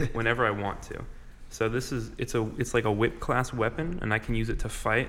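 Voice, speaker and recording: Speaking at a moderate pace, a man with medium pitch has a bright, sharp tone, vocal fry and fairly even intonation. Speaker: tabletop game player. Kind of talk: casual chat.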